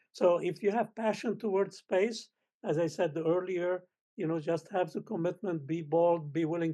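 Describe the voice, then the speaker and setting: A man with a Lebanese accent speaks at a moderate pace. His pitch is high, and the background is quiet. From Lebanon. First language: Arabic. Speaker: space scientist. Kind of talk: panel discussion. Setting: panel event with audience.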